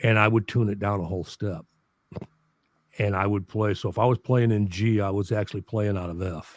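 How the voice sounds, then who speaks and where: A man with an American accent talks at a fairly quick pace in an ordinary speaking voice, fairly low in pitch, with fairly even intonation. The sound is dry and close with no echo, on a very clean recording with a silent background. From US Midwest, St. Louis. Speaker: musician and documentary channel creator. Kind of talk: casual chat.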